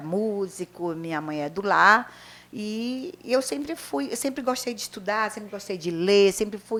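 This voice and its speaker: Her voice has a bright, sharp tone. The woman speaks at a fairly slow pace with lively intonation. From northern Brazil, Pará (Vigia). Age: 60s. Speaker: retired teacher and writer. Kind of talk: interview.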